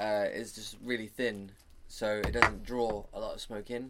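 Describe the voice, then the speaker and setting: Over noticeable background noise, a man with a medium-pitched voice talks fairly slowly in a London accent. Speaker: stoner podcast co-host. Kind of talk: casual chat.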